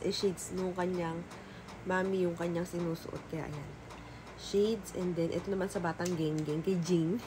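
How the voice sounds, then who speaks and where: Quiet speech at a moderate pace, with audible room echo and noticeable background noise. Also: woman. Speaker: vlogger. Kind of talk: casual haul vlog. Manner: quiet voice.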